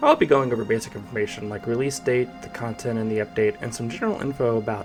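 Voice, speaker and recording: Music plays behind a man of medium pitch. He talks at a very fast pace. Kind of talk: video essay narration. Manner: low energy, unenthusiastic.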